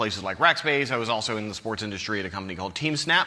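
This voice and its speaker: Lively intonation in an American accent. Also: man. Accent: American, non-British. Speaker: conference speaker, tech manager. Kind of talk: conference talk. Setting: stage with audience. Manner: casual, joking.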